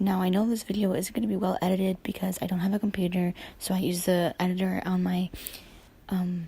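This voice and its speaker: A woman talks fairly quickly in a dark, mellow, somewhat breathy tone at a medium pitch, with flat, monotone intonation and very even loudness. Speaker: YouTuber. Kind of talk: casual rant to camera.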